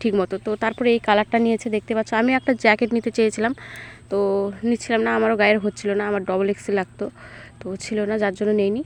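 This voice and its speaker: A woman with a fairly high pitch speaks in a monotone, flat intonation, captured with a dry, close sound and no echo. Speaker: village vlogger. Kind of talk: casual vlog narration. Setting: outdoors at home courtyard.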